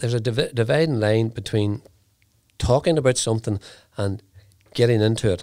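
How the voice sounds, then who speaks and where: This man has a Northern Irish accent and talks at a fairly quick pace. His pitch is medium with ordinary variation, on a very clean recording with a silent background. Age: 70s. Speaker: entrepreneur. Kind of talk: interview. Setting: studio. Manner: halting.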